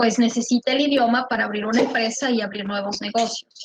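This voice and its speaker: A woman speaks at a moderate pace in a fairly high, monotone, flat voice. The sound is dry and close, with no echo. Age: 40s. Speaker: immigration lawyer. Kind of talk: online conference Q&A.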